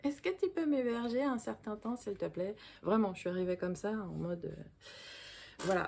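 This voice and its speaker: With a dark, mellow tone and lively intonation, a woman speaks at a moderate pace. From Paris suburbs, France. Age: 40s. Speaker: vlogger. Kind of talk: casual personal storytelling to camera. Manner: casual, hesitant with fillers.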